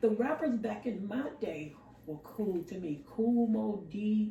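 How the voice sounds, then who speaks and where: A woman at medium pitch, animated in tone with lively intonation, amid noticeable background noise and audible room echo. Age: 60s. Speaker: podcast co-host. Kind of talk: casual chat.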